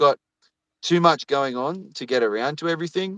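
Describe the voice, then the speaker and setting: A man with an Australian accent and a bright, sharp tone, at a moderate pace. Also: dry, close sound with no echo. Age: 30s. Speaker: YouTuber. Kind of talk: casual chat. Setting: livestream video call. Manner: halting, many fillers and repetitions.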